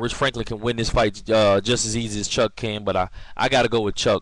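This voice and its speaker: The pace is fairly quick. The speaker is a man. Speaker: MMA video blogger. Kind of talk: casual vlog commentary. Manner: fast, rushed; filler-heavy, hesitant.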